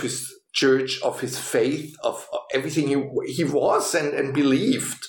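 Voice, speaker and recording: A man talks at a fairly slow pace. Noticeable background noise sits behind his voice. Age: 50s. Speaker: pastor. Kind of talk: interview storytelling.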